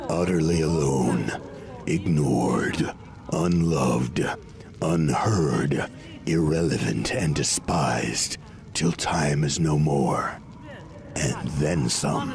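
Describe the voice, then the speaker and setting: A man performs a cartoonish character voice at a very slow pace, with long, frequent pauses. Clear background noise runs underneath. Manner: enthusiastic, sardonic.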